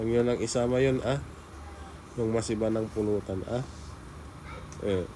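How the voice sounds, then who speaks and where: With a Pangasinan accent, a man speaks at a medium pitch with fairly even intonation. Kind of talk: casual talk to camera.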